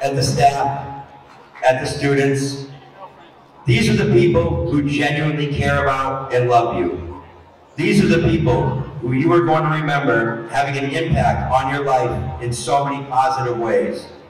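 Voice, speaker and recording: A man talks fairly slowly as audible room echo and light background noise fill the recording. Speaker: teacher. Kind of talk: rally speech. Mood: earnest, warm, encouraging. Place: hall.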